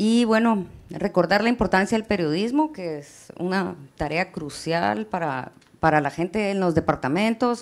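A woman's ordinary speaking voice at medium pitch, fairly slow, with lively intonation. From Guatemala. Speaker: journalist. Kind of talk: presentation. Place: hall.

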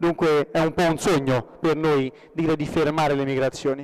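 A man speaks over a quiet background. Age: 20s. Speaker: young local politician. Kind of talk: conference speech. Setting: stage with audience. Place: hall. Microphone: podium.

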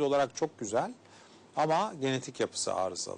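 The voice belongs to a man. He talks at a moderate pace. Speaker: gynecologist and fertility specialist. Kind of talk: TV health interview. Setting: studio. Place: studio. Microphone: lapel.

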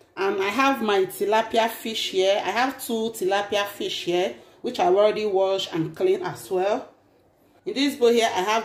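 A woman speaks with audible echo from the room. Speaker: cooking channel host. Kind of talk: casual vlog chat. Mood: warm and cheerful. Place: kitchen. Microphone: phone near.

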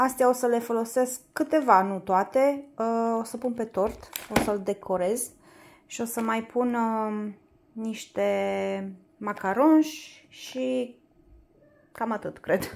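A woman speaks at a very slow pace, leaving long, frequent pauses, her pitch varying in an ordinary way. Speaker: home vlogger. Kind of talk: casual vlog chat. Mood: cheerful, laughs. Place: home room. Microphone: phone near.

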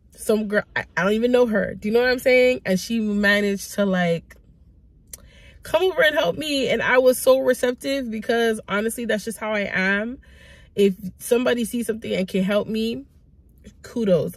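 At a moderate pace, a woman speaks at medium pitch with ordinary pitch variation.

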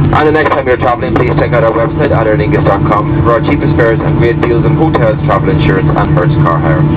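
Over loud background noise, a man races along at a very fast pace with hardly any pauses and ordinary pitch variation. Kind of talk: in-flight announcement. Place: plane.

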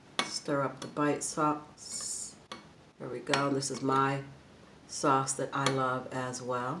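Over noticeable background noise, a woman speaks very slowly in a very deep, low voice with monotone, flat intonation. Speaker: food vlogger. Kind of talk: casual vlog chat while eating. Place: home room. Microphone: phone near.

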